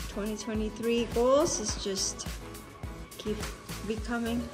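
A woman's voice over clear music in the background. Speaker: travel vlogger. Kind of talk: casual vlog chat. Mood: proud, relieved. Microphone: phone near.

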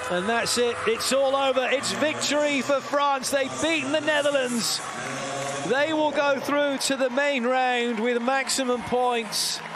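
Over noticeable background noise, a man speaks at an extremely high pitch with fairly even intonation and very even loudness. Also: fairly slow pace. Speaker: handball commentator. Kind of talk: live sports commentary on a handball match. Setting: commentary over a match broadcast. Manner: fluent, explanatory play-by-play mixed with rule explanations.

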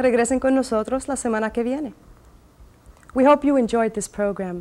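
Her pitch high, a woman speaks with ordinary pitch variation. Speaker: host. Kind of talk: scripted bilingual introduction; announcement to viewers.

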